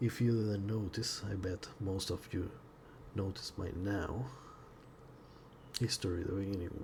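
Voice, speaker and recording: With a non-native accent, a man speaks at a fairly slow pace and fairly low pitch, his intonation fairly even and broken by long, frequent pauses. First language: not English. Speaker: indie game developer. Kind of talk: tutorial-style software exploration. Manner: halting, with frequent repetitions.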